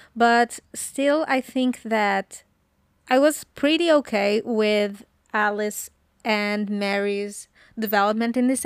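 A woman with a plain, everyday voice and fairly high pitch is heard in a very clean recording with a silent background and a dry, close sound with no echo. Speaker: podcast co-host, TV show fan. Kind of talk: casual chat.

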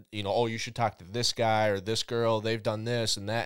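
A man at medium pitch with a Minnesotan accent, on a very clean recording with a silent background. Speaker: podcast host. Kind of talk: casual interview chat.

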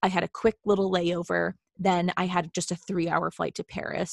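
Dry and close with no echo, the recording carries a woman with an ordinary speaking voice and an American accent at medium pitch and a moderate pace. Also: very clean recording, silent background. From Boston, US Northeast. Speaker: travel writer and blogger, podcast co-host. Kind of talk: casual chat.

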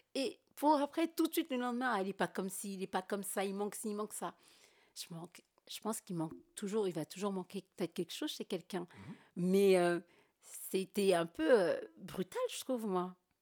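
A woman's normal speaking voice at medium pitch, fairly quick and lively, with big swings in loudness and a dry, close sound with no echo. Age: 30s. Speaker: podcast guest. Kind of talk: casual chat.

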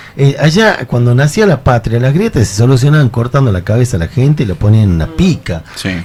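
Lively intonation marks a man speaking at a very fast pace and medium pitch. Noticeable background noise is present. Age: 50s. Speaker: folk musician. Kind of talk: casual chat. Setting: studio.

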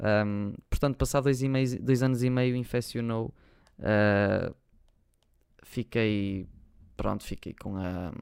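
A man speaks at a medium pitch and a very slow pace, with long, frequent pauses. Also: ordinary pitch variation. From Portugal, Porto. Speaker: YouTuber and podcast host. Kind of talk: casual solo chat.

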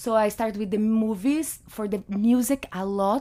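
A woman with a Brazilian Portuguese accent speaks at a medium pitch in a dark, mellow tone. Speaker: photographer and artist. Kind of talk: casual interview. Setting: studio. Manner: animated.

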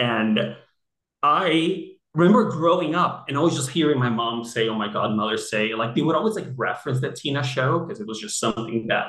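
Amid audible room echo, a man talks at a fairly quick pace in a fairly high pitch with lively intonation. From Brazil, Rio de Janeiro. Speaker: guest, interviewer. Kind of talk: casual chat.

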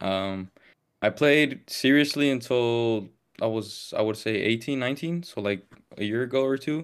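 A man with an American accent and an unremarkable speaking voice talks at a moderate pace and medium pitch with ordinary pitch variation, recorded very cleanly over a silent background. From Las Vegas, US. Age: 20s. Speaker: football podcaster and content creator. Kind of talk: casual chat.

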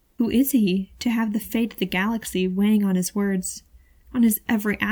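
Fairly even intonation in plain reading aloud.

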